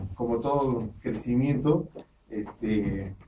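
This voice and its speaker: Light background noise accompanies a man whose intonation is fairly even. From Peru. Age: middle-aged. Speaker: chef and restaurant owner; guest. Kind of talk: radio interview with cooking demonstration. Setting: radio studio. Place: studio. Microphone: studio mic.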